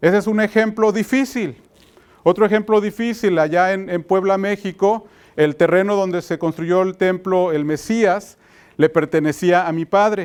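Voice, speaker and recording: Recorded very cleanly against a silent background, a man speaks fairly slowly at a high pitch with ordinary pitch variation. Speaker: pastor. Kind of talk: sermon. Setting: church conference with audience. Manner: hesitant, many fillers.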